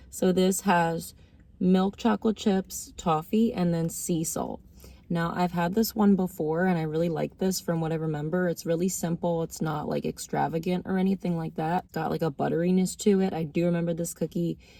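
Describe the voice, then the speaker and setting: Soft-spoken, a woman talks at a fairly low pitch with a dark, mellow tone. Her pace is moderate and her intonation fairly even. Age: 30s. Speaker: food reviewer vlogger. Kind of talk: casual taste-test review. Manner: soft-spoken, talking low.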